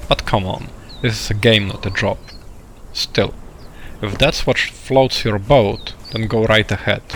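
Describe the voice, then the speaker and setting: A man's fairly low, fairly slow voice with fairly even intonation and long, frequent pauses, over noticeable background noise. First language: not English. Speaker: video game tutorial creator. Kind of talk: tutorial.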